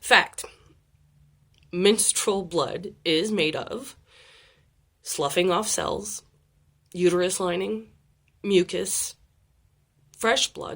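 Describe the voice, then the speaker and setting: A woman with an American accent speaks very slowly with lively intonation, vocal fry, big swings in loudness, and long, frequent pauses. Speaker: occult video creator. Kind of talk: informal talk to camera. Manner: hesitant, many fillers.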